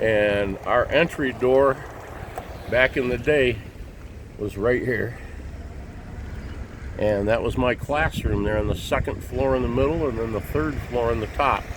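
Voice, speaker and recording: The speaker has an American accent and a fairly slow pace with long, frequent pauses. Noticeable background noise sits behind the voice. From Kalamazoo, Michigan, US Midwest. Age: 60s. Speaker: video blogger. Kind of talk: casual driving tour narration. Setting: in a moving vehicle. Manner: casual, hesitant with fillers.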